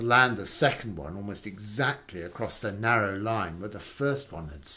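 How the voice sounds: A reading voice, natural in tone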